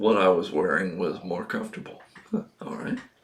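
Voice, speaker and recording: The man's speech moves at a fairly slow pace. Behind him sits noticeable background noise. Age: 70s. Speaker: video blogger. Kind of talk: casual monologue. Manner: halting, many fillers.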